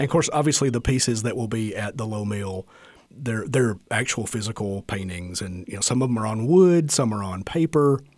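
The speaker is a man at a medium pitch with ordinary pitch variation. He talks at a fairly quick pace. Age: 50s. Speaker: radio host and artist. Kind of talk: casual chat. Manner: halting.

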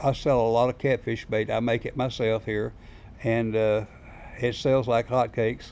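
A man with a Southern US accent speaks at a medium pitch and moderate pace in a monotone, flat intonation. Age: 70s. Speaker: bait shop owner and fisherman. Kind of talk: casual interview storytelling.

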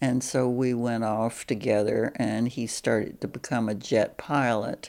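Over a silent background in a very clean recording, a woman with an American accent speaks fairly slowly in a very deep, low voice, her dark, mellow tone edged with vocal fry and her intonation fairly even. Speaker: interviewee telling life story. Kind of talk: oral history interview.

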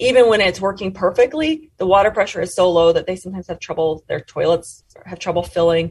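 This woman talks at a fairly quick pace and medium pitch. Her voice is somewhat breathy. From Montana, US. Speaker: sociology professor and author. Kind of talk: interview.

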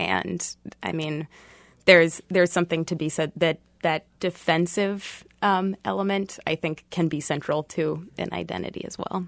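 With vocal fry and an American accent, a woman speaks at a fairly low pitch and moderate pace with long, frequent pauses and fairly even intonation, on a very clean recording with a silent background that is dry and close with no echo. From Boston. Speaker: sociology professor. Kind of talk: radio panel discussion.

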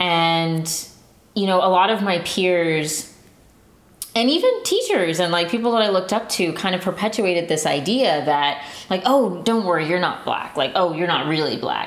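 A woman with an American accent speaks at a medium pitch and a moderate pace. Her pitch varies in an ordinary way and her loudness stays very even, with noticeable background noise behind her. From San Antonio, Texas. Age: 20s. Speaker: listener storyteller. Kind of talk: personal storytelling.

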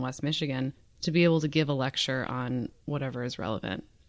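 Speaking at a fairly quick pace, a woman with a very deep, low voice shows vocal fry. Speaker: exhibitions manager and artist. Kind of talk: casual interview chat. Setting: radio studio.

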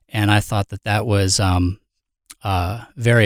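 In a very clean recording with a silent background and a dry, close sound with no echo, a man with an ordinary speaking voice talks at a moderate pace and a fairly low pitch. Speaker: band member, drummer. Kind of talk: casual band discussion.

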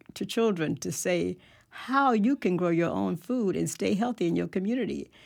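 Speaking at a moderate pace, a woman with an American accent uses a fairly low pitch and some vocal fry. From Tallahassee, Florida. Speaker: community organization director. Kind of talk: radio panel discussion.

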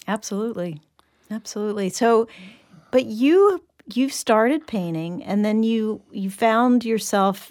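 A woman with a plain, everyday voice talks at a fairly slow pace, her pitch fairly high with ordinary variation. The recording is very clean, with a silent background. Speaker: interviewer, host. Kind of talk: interview.

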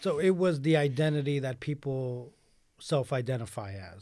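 A man with a New York accent has a dark, mellow tone and ordinary pitch variation. The recording is very clean, with a silent background. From New York City. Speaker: newspaper editor and educator. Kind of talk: radio interview. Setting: radio studio.

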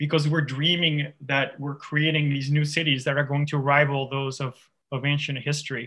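A man with a French accent and a fairly high pitch speaks at a moderate pace. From France, near the Swiss border. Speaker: author. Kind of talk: interview.

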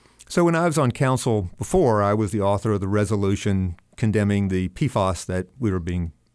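On a very clean recording with a silent background, a man with an American accent speaks at a moderate pace in a plain, everyday voice with a fairly low pitch. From North Carolina (Charlotte). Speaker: city council candidate, former council member. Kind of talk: radio interview.

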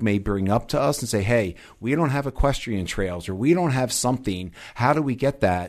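With an American accent, a man has a normal speaking voice, ordinary pitch variation and a moderate pace. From US East Coast, Delaware. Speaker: parks district executive director. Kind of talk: interview. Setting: studio.

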